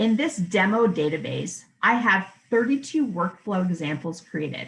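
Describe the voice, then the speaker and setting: Very wide pitch swings at a fairly slow pace. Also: woman. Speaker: software trainer. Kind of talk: software tutorial demo. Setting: virtual conference presentation. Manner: clear, methodical.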